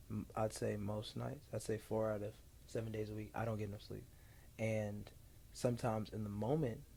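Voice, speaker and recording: This man has a fairly low, dark, mellow voice that is somewhat breathy, with an American accent. He talks at a fairly quick pace with ordinary pitch variation. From Ohio, Columbus. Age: 20s. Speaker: entrepreneur and speaker. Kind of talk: casual chat.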